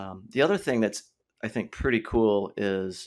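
A man talks in a plain, everyday voice at medium pitch. The recording is very clean, with a silent background. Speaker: extension educator and podcast host. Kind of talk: casual podcast conversation.

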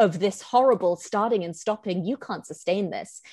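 A woman speaks with a British accent. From Hong Kong. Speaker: visual artist and writer. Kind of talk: casual interview chat.

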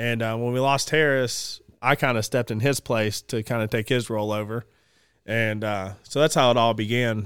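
In a Southern US accent, the speaker keeps a moderate pace on a very clean recording with a silent background. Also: man, medium pitch for a man. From Georgia, US. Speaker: outdoors business owner and hunter. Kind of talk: casual chat. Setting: studio.

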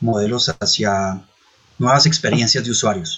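Here a man speaks with medium pitch. His pace is fairly slow. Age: 40s. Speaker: tech entrepreneur. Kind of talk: interview. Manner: hesitant fillers.

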